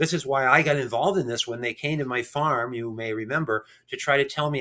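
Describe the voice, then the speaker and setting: A man with an American accent at a very fast pace, bright, sharp tone and ordinary pitch variation. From Connecticut (East Hartford), Vermont family roots. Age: 60s. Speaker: farmer and attorney. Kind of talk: interview. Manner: animated.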